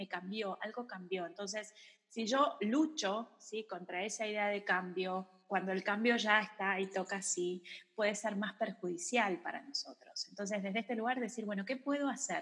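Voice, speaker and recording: A woman speaks in an ordinary speaking voice at a medium pitch. Her pace is moderate, and her pitch varies in an ordinary way. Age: 30s. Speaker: psychologist and yoga teacher. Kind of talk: casual chat.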